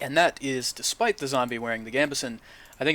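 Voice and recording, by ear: The words are read aloud in a natural voice.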